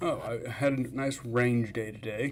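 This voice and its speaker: Audible room echo surrounds a man's medium-pitched voice. His intonation is fairly even. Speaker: fasting vlogger and streamer. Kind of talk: casual livestream chat. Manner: slurred words.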